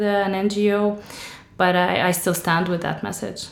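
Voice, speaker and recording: With music in the background and audible room echo, a woman in an Arabic accent speaks at a fairly slow pace. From Syria, Damascus. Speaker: author. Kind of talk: interview.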